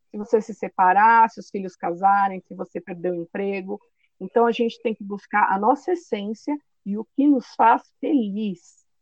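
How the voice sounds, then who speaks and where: A woman's normal speaking voice at medium pitch and moderate pace, with ordinary pitch variation and big swings in loudness. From São Paulo, Brazil. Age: 30s. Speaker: podcast host and career coach. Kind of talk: casual interview.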